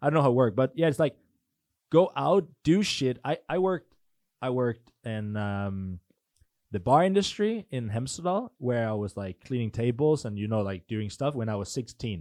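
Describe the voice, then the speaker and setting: A man's medium-pitched voice with a Danish accent, very wide pitch swings, a moderate pace, and a dry, close sound with no echo. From Denmark. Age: 20s. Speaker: entrepreneur. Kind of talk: casual chat. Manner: halting.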